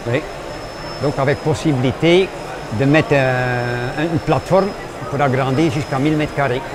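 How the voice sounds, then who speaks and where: Over noticeable background noise, a man with a fairly high pitch speaks with long, frequent pauses. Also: fairly even intonation, moderate pace. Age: 70s. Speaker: craft brewer. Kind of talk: radio interview. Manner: halting.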